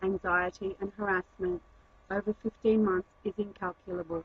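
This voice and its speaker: A woman speaks at medium pitch and a moderate pace, somewhat breathy, with monotone, flat intonation. The sound is dry and close, with no echo. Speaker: activist, crime victim. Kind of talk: scripted narration. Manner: formal.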